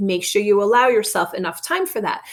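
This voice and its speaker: Loud and animated, a woman speaks with very wide pitch swings. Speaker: elementary school teacher. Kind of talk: recorded lesson for young pupils. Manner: loud teaching voice.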